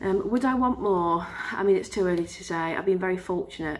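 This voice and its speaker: A woman talks at a very fast pace. Her fairly low voice carries vocal fry. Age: 20s. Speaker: vlogger. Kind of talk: casual vlog talk. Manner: hesitant, many filler sounds.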